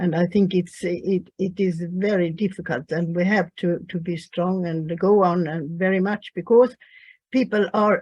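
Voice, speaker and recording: Somewhat breathy, a woman speaks at a fairly low pitch and a fairly slow pace, with ordinary pitch variation. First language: Swedish. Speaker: peace activist. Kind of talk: online panel discussion. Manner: halting.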